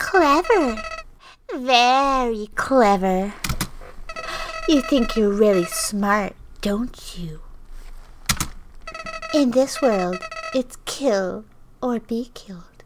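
A woman's put-on character voice, high in pitch, very slow, broken by long, frequent pauses. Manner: menacing, mocking.

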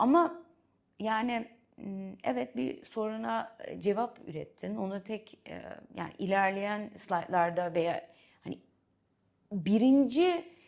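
With a Dutch accent, a woman speaks at a medium pitch, making very wide pitch swings. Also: long, frequent pauses, big swings in loudness. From Netherlands. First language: Dutch (speaking Turkish). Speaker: venture capital investor. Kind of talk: interview. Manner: halting, with fillers.

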